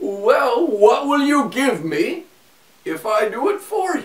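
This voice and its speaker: Using a put-on character voice, a man talks at a fairly slow pace with an extremely high pitch and very wide pitch swings. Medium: read story.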